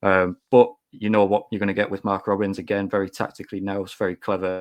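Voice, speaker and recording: A man's very fast, monotone, flat delivery at a fairly low pitch, with a Teesside accent and a dry, close sound with no echo. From Teesside, northern England. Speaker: football podcast guest pundit. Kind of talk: casual chat.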